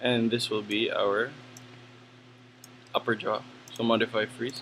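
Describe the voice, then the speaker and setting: A man's mumbling, medium-pitched voice at a fairly slow pace, in a flat monotone. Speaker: 3D animation tutor. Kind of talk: tutorial. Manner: casual.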